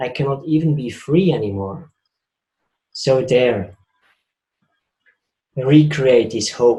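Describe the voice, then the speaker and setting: In a Swiss accent, a man speaks at a very slow pace with long, frequent pauses. His voice is somewhat breathy, with a dark, mellow tone, medium pitch and ordinary pitch variation. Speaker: spiritual speaker. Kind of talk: talk.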